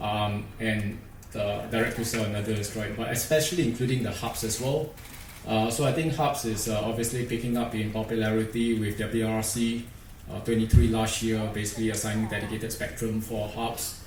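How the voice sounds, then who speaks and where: A man with a Singaporean accent talks at a fairly quick pace with fairly even intonation, amid audible room echo and light background noise. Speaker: industry engineer presenter; presenter. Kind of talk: conference presentation. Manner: hesitant, many fillers. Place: hall. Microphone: podium.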